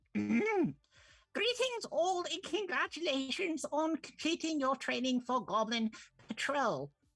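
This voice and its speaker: At a fairly slow pace, the speaker puts on a character voice pitched high. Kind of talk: formal, official. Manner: put-on character voice.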